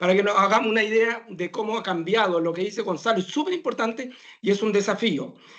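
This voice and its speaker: A man with a high pitch talks at a very fast pace with ordinary pitch variation, over noticeable background noise. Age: 60s. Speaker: professor of medicine. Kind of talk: talk Q&A answer.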